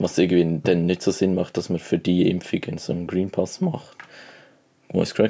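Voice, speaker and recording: At a moderate pace, a man speaks in a very deep, low pitch with a dark, mellow tone. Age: young. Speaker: podcast co-host, apprentice. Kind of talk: casual chat. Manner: animated.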